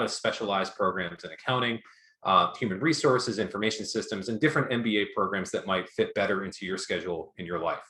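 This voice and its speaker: Speaking very fast, a man holds a medium pitch with ordinary pitch variation. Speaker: university academic advisor. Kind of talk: information session presentation.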